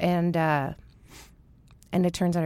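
A woman is heard on a very clean recording against a silent background. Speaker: singer-songwriter. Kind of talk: casual chat.

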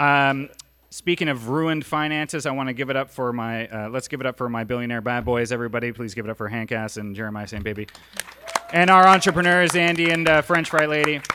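This man talks very fast in an animated tone, with ordinary pitch variation. Noticeable background noise sits behind him. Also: medium pitch for a man. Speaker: podcast host. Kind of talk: live comedy podcast show. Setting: stage with audience.

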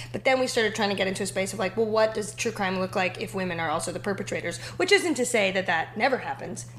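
Very fast, lively speech from a woman at medium pitch, with hardly any pauses and noticeable background noise. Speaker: TV writer and actress. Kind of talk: casual interview chat.

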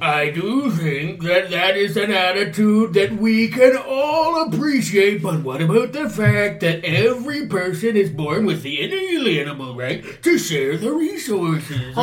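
A man's high, put-on character voice at a moderate pace with hardly any pauses. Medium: stage play.

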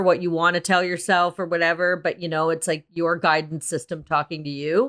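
The background is silent on this very clean recording. On it, a woman talks at a fairly quick pace. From Russia and Canada. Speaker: comedy actress. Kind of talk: casual interview. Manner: animated.

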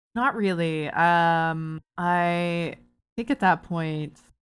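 A woman speaks with a Canadian accent and a fairly low pitch. The recording is very clean, with a silent background. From Canada, Barrie, Ontario. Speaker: TV and video game writer. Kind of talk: casual interview chat. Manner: hesitant, many fillers.

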